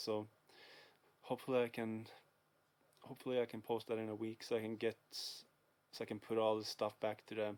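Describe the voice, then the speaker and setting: Here a man speaks with a Swedish accent. His pitch is medium. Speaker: video game collector vlogger. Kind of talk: casual vlog. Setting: dark room at home. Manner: hesitant, many fillers.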